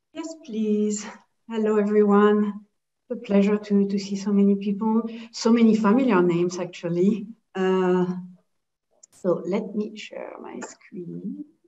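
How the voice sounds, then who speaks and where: With a French accent, a woman speaks fairly slowly at a medium pitch, her intonation fairly even but her loudness swinging widely. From Geneva, French-speaking Switzerland. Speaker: head of sales at a standards organization. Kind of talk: webinar presentation.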